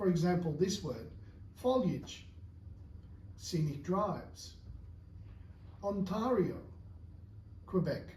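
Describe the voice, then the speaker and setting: A man speaks at a high pitch with ordinary pitch variation, and some room echo is audible. His pace is very slow, broken by long, frequent pauses. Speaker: English teacher. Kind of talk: tutorial.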